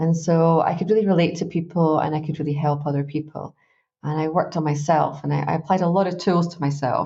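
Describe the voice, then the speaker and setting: In a Glaswegian accent, a woman races at a very fast pace, her very deep, low pitch somewhat breathy and her intonation fairly even. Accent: Glaswegian Scottish. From Scotland, Glasgow. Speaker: life coach. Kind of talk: interview. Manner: chatty, relaxed.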